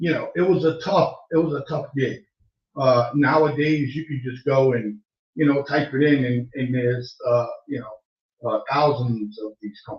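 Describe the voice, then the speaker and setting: Somewhat breathy and fairly high-pitched, a man with an American accent talks at a moderate pace with ordinary pitch variation. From Massachusetts. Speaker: online radio show host. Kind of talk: casual live-stream talk. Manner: halting, many fillers. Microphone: sounds far away, mic problem.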